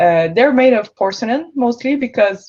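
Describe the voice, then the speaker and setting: Speaking at a moderate pace with a French-Canadian accent, a woman has a dark, mellow tone and ordinary pitch variation. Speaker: entrepreneur, product designer. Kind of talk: panel discussion.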